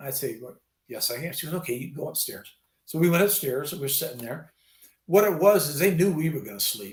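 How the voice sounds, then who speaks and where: Using lively intonation and vocal fry, a man talks at a fairly quick pace and a fairly high pitch, with big swings in loudness. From US West Coast, California Bay Area. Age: 60s. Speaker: retired army veteran. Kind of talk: casual interview chat.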